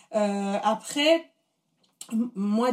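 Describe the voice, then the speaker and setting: This woman's voice sits fairly high and sounds somewhat breathy. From Paris, France. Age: 30s. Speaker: food blogger. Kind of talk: interview conversation. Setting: in the host's home.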